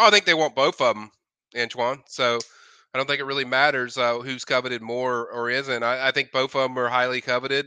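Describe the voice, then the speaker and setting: The voice has a bright, sharp tone and a fairly quick pace with fairly even intonation, recorded with a dry, close sound with no echo against a quiet background. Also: man, medium pitch for a man. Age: 50s. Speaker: college football recruiting analyst. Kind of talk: live stream chat.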